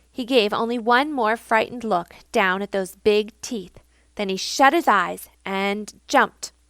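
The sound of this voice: The speaker uses an unforced reading voice. The pitch variation is ordinary.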